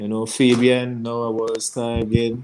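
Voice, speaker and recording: A man with a Grenadian accent speaks at a medium pitch in monotone, flat intonation. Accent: Grenadian Caribbean English. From Grenada. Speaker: cricketer. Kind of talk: casual chat.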